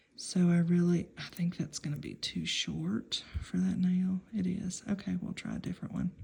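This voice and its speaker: A woman whispers quietly at a moderate pace. Her voice is somewhat breathy. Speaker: nail art hobbyist video maker. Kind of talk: tutorial demonstration. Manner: whispering, hushed; casual, hesitant.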